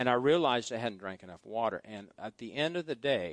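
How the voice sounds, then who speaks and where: At a fairly quick pace, a man speaks in a fairly low pitch with very wide pitch swings. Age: 50s. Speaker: pastor. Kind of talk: sermon.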